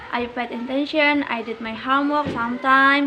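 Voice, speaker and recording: Over noticeable background noise, a raised, projected voice carries at a moderate pace with fairly even intonation. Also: woman. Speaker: university student. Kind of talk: reading aloud. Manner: halting.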